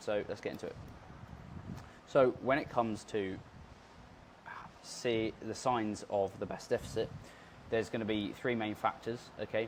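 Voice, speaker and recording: A man's medium-pitched voice at a moderate pace, fairly even in intonation, with long, frequent pauses. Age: 20s. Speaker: fitness coach. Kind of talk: tutorial. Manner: casual.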